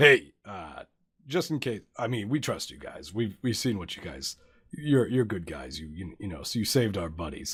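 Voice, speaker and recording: Doing a put-on character voice, a raspy man with a fairly low pitch speaks at a moderate pace with very wide pitch swings and big swings in loudness, on a very clean recording with a silent background. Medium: actual play. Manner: casual, blunt.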